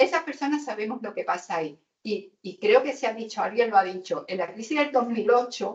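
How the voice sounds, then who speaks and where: A woman's fairly high-pitched, normal speaking voice with lively intonation, a fairly quick pace and big swings in loudness. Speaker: housing activist on a panel. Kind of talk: panel debate.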